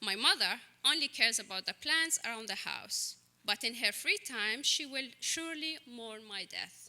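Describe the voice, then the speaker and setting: A fairly high-pitched woman with an Arabic accent, lively intonation and big swings in loudness. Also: moderate pace. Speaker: writer. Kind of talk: reading aloud.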